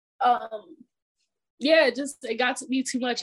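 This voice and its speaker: A woman speaks in a plain, everyday voice. Her intonation is fairly even and her pace moderate. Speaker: former college basketball player. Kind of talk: interview.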